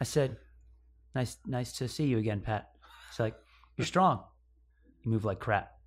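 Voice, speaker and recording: With an American accent, a man speaks at a moderate pace and medium pitch, with ordinary pitch variation and vocal fry. He leaves long, frequent pauses, and the recording is very clean with a silent background. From upstate New York. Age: 30s. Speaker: CrossFit athlete. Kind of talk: casual chat.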